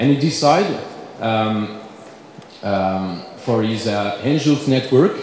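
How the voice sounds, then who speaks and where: A man with a French accent at a fairly slow pace, with audible room echo and noticeable background noise. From France. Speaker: company representative. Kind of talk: conference presentation. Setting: conference panel. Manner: halting, many fillers.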